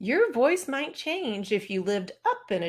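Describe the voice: What you hear is plain reading aloud.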